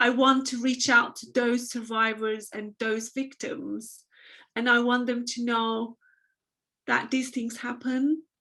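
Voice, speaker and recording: A woman with a Turkish accent speaks very slowly in a bright, sharp tone, her high pitch held in a flat monotone. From Turkey. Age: 30s. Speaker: abuse survivor and fashion business owner. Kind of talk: testimony. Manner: halting.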